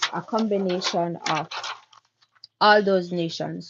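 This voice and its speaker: A woman with a Jamaican accent, medium pitch, fairly even intonation and a very slow pace. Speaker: craft business owner. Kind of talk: casual chat during a craft livestream. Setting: YouTube live stream.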